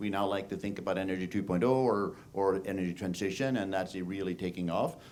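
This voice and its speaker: Here a man in a normal speaking voice talks at a fairly quick pace with hardly any pauses, a fairly low pitch and fairly even intonation. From northeast Texas. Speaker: tech and innovation panelist. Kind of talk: panel discussion.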